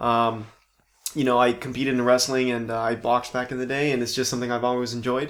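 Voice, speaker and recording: The speech runs at a very fast pace with monotone, flat intonation, in an American accent. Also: man, medium pitch for a man. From Southern California (Palm Springs). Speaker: actor. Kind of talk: casual chat.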